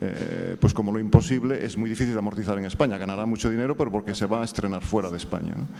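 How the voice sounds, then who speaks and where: A man speaks at a very fast pace with hardly any pauses. His pitch is fairly low, with ordinary pitch variation. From Galicia, Spain. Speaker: screenwriter. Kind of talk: audience question at panel. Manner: hesitant, many fillers.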